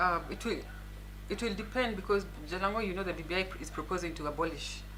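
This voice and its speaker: A woman at a very fast pace with audible room echo. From Kenya, Nairobi. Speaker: lawyer and politician. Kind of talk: interview. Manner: soft-spoken.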